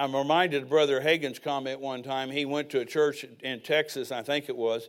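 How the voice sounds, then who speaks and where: A man with an unremarkable speaking voice, fairly high in pitch, at a fairly slow pace in a very clean recording with a silent background. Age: 60s. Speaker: preacher. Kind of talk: sermon. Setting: church.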